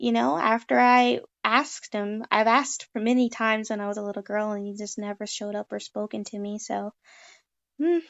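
A woman's plain, everyday voice at a fairly high pitch and a moderate pace. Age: 20s. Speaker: guest discussing religion. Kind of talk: casual chat.

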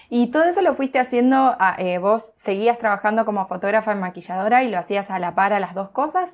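At a moderate pace, a woman with a Rioplatense accent speaks at a fairly high pitch with ordinary pitch variation. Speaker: podcast host. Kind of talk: interview.

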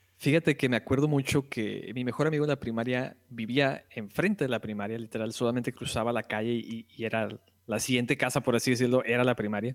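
A man with a Mexican accent at a very fast pace, his intonation fairly even. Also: medium pitch for a man, dry, close sound with no echo. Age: 20s. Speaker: podcast guest, video game fan. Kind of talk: casual chat.

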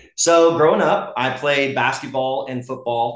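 Noticeable background noise behind a male speaker with an American accent. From US South, Gwinnett County, Georgia. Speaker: high school baseball coach. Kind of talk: casual interview. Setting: in a home kitchen.

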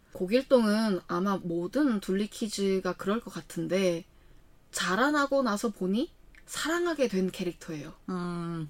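Her intonation lively and her pitch medium, a woman speaks at a very slow pace. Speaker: podcast co-host. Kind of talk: casual chat. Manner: animated.

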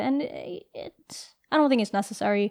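The speaker has an unremarkable speaking voice. The recording is very clean, with a silent background. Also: woman. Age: 20s. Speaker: podcast co-host. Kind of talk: casual chat.

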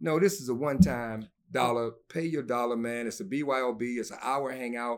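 Using a plain, everyday voice, a man at medium pitch speaks at a moderate pace with ordinary pitch variation and big swings in loudness. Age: 50s. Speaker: comedian. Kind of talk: casual chat.

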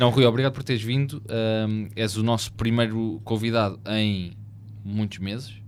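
A man with an unremarkable speaking voice and a fairly low pitch. His intonation stays fairly even at a moderate pace. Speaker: podcast host. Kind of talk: casual chat.

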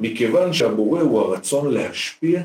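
The pace is moderate. Pitch swings very widely throughout. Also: man. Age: 40s. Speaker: spiritual counselor and teacher. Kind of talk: interview.

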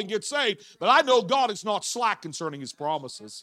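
A man speaks very fast in a raised, projected voice. His tone is animated, with very wide pitch swings. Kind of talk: sermon. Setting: church evening service, holding a microphone. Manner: animated, talks with his hands; fervent, preaching in full flow.

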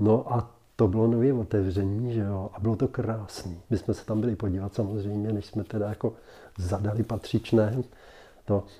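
A man speaks at a moderate pace and fairly low pitch, in a monotone, flat intonation. His tone is dark and mellow, and somewhat breathy. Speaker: interviewee recalling his 1960 wedding. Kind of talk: casual interview recollection. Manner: halting, many fillers.

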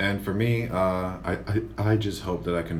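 Noticeable background noise and audible room echo fill the recording. Within it, a man talks with an American accent. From Tampa, Florida. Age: 20s. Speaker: podcast co-host. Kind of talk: casual chat.

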